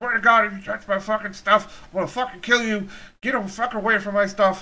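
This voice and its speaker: The speaker uses a put-on character voice, pitched fairly high and delivered at a fairly quick pace. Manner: threatening, profane.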